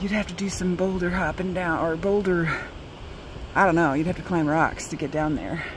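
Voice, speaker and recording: A woman speaks at a moderate pace in a dry recording with no echo, with noticeable background noise behind her. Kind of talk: casual vlog chat. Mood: a little nervous, amused. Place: open country. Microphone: phone near.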